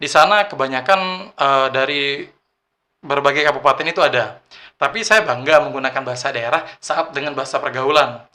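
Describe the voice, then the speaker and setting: A man with a fairly high pitch and a bright, sharp tone speaks at a fairly quick pace with ordinary pitch variation. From Bangka Belitung, South Bangka, Indonesia. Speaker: youth ambassador, former bank employee. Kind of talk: casual podcast interview.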